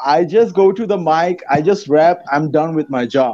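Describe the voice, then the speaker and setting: A man speaks with a Bengali accent at a moderate pace. His tone is dark and mellow, with a fairly high pitch and ordinary pitch variation. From Dhaka, Bangladesh. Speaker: rapper. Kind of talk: casual chat.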